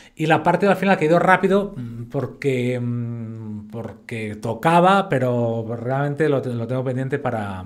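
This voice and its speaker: A man's voice with lively intonation. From Spain. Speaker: fitness educator. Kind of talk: lecture. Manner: casual.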